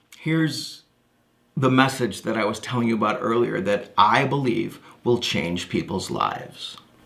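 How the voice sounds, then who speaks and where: Audible room echo follows a man who talks at a moderate pace, his pitch varying in an ordinary way. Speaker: motivational speaker. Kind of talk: stage presentation. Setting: stage. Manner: high energy.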